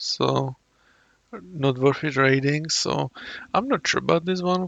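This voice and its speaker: Ordinary pitch variation shapes a man's fairly high-pitched speech. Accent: Czech. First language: Czech. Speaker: YouTube reactor. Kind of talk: casual commentary. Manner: halting.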